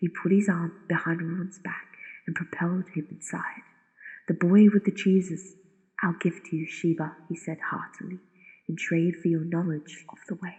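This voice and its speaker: A woman whispers at a moderate pace, somewhat breathy. Her loudness swings widely. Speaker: narrator. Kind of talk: sleep story. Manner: whispered.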